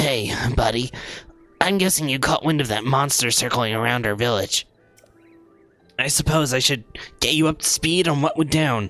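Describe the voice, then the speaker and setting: A man at a medium pitch puts on a character voice, moving at a moderate pace with long, frequent pauses while faint music plays in the background. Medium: game stream. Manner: casual, chummy.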